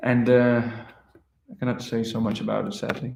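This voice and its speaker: The speaker talks at a moderate pace with a Danish accent. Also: man. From Denmark. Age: 20s. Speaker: musician. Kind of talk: livestream chat. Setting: livestream.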